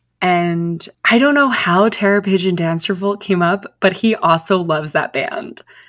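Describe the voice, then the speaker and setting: An ordinary speaking voice from a woman at a medium pitch, with ordinary pitch variation, a moderate pace, hardly any pauses and a very clean recording with a silent background. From US, Philadelphia suburbs. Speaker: friend of the host. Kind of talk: casual chat.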